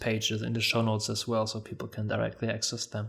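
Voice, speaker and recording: Very fast and in a monotone, flat intonation, the speaker talks with a slight non-native accent on a very clean recording with a silent background. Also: man. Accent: non-native English, mild. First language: German. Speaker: podcast host. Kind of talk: interview; scripted outro.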